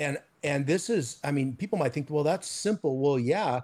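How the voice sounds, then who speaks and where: A somewhat breathy man's voice, fairly high in pitch, with very wide pitch swings. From mission fields abroad, then US from high school. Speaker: missions leader and author. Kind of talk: interview. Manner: animated.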